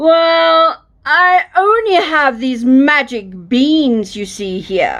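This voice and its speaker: A woman does a put-on character voice, high in pitch, with very wide pitch swings. Her pace is very slow, yet she hardly pauses. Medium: read story. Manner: folksy, persuasive.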